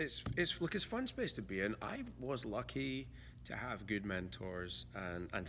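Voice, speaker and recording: Audible room echo surrounds a man's very deep, low voice, which has vocal fry and moves at a moderate pace. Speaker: veterinarian, author and podcaster. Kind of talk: casual interview. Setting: veterinary conference. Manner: halting, repeats words.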